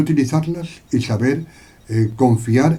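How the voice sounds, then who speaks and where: Somewhat breathy and at a very slow pace, a man speaks at a medium pitch with ordinary pitch variation. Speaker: Bible teacher. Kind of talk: Bible study lecture. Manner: hesitant, many fillers.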